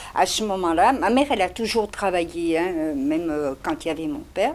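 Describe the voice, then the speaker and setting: Over noticeable background noise, a woman's voice moves in very wide pitch swings. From Spain, Barcelona. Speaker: interviewee. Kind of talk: testimony.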